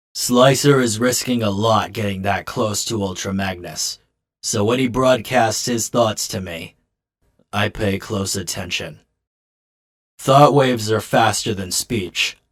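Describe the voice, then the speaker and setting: A man puts on a raspy character voice at a fairly slow pace. The recording is very clean, with a silent background. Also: fairly low pitch for a man. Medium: fan dub. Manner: calm, measured.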